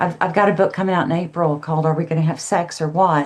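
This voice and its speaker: A woman speaks with an unremarkable speaking voice. Her pitch is fairly low. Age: 60s. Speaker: counselor and author. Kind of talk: podcast interview.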